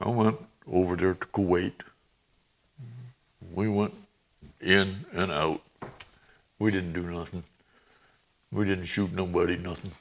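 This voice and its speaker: A man with an American accent speaks at a fairly slow pace in a very deep, low voice. His intonation stays fairly even, broken by long, frequent pauses. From upstate New York. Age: 80s. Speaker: retired army sergeant and war veteran. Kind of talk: interview.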